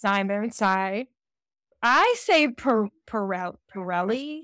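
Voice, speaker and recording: A woman in a Southern US accent speaks at a very slow pace and a medium pitch, with a dry, close sound and no echo. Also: very clean recording, silent background. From US, Georgia. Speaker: romance author. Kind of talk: interview.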